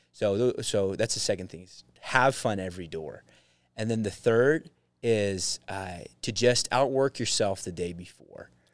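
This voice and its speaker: With an American accent, a man speaks in a normal speaking voice at a fairly slow pace and fairly low pitch, with ordinary pitch variation and big swings in loudness, in a very clean recording with a silent background. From Utah. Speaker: door-to-door salesman. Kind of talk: casual chat.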